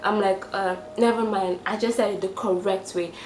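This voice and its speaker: Animated in tone, a woman talks at a fairly quick pace with a Nigerian accent. Noticeable background noise and audible room echo fill the recording. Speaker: vlogger. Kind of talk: casual vlog monologue.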